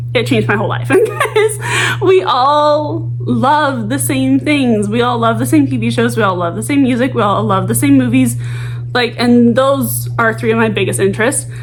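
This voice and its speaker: Speaking at a moderate pace, a woman is heard against noticeable background noise. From Arkansas. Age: 20s. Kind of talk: casual talk to camera. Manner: chatty, rambling.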